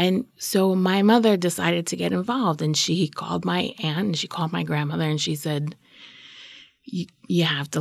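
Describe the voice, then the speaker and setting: A woman speaks with vocal fry at a fairly low pitch. The recording is very clean, with a silent background. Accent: American. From New York, Queens. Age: 40s. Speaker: storyteller. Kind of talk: personal story interview.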